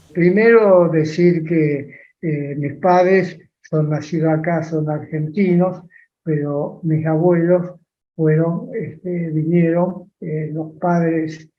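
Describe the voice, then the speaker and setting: The man's voice is high for a man, and he speaks at a very slow pace. Audible room echo surrounds his words. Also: fairly even intonation. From Argentina, Las Parejas (Santa Fe). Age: 80s+. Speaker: interviewee, elderly industrialist. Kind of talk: interview.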